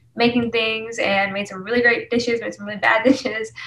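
A plain, everyday voice from a woman, medium-pitched and with ordinary pitch variation. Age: 20s. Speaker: singer-songwriter. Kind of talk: casual interview chat.

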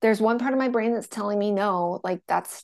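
The background is quiet as a woman talks at a fairly quick pace. Her medium-pitched voice carries vocal fry. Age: 40s. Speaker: menstrual and hormone health coach. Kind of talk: casual interview chat.

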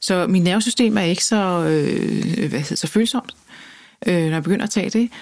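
A woman's medium-pitched voice with vocal fry, ordinary pitch variation, at a moderate pace. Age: 50s. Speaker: journalist and author. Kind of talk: interview.

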